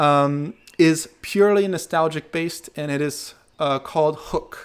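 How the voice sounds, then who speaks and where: A man speaks with an American accent in a normal speaking voice. His pitch is fairly high, with ordinary variation. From United States. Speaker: movement and martial arts teacher. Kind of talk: casual Q&A monologue. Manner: relaxed, many fillers.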